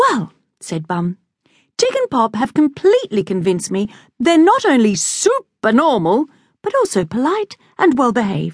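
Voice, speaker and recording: A woman talks in a high pitch with very wide pitch swings at a moderate pace. The sound is dry and close, with no echo. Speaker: audiobook narrator. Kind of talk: dramatic narration of a children's story, reading aloud with character voices. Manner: animated; playful, exaggerated, comic.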